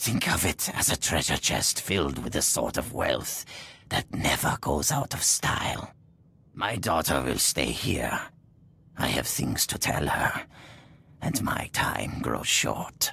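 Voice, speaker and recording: This man uses a put-on character voice. It is raspy and very deep, low in pitch. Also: fairly slow pace. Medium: video game. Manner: wisecracking, sarcastic.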